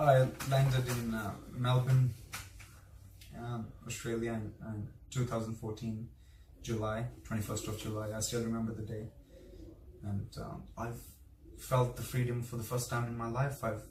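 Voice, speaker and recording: In an Indian accent, a man speaks at a moderate pace and medium pitch with monotone, flat intonation and long, frequent pauses, while audible room echo surrounds him. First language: Hindi. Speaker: vlogger. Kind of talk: casual interview. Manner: halting.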